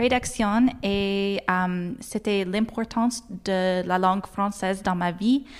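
A woman with an English accent speaks at medium pitch and a very slow pace. Her intonation is fairly even, and the recording is very clean with a silent background. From Nova Scotia, Halifax. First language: English (speaking French). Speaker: university graduate, award winner. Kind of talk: interview. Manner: halting, many fillers.

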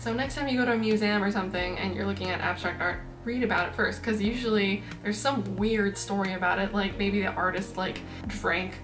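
A woman at a fairly quick pace with fairly even intonation, clear music in the background. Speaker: art vlogger. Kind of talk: casual vlog chat. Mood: playful, laughing. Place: home room.

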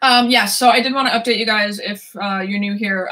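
A woman talks with a bright, sharp tone and fairly even intonation. The background is quiet. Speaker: book vlogger. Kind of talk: casual vlog chat. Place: home room. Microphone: camera far.

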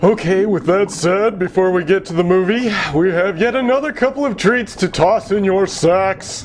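A put-on character voice at a middle pitch and moderate pace, with clear background noise. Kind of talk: late-night horror host patter. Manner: playful, showman.

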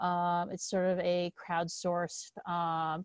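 On a dry recording with no echo, a woman speaks against a quiet background. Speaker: webinar presenter. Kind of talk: webinar presentation. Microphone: video call.

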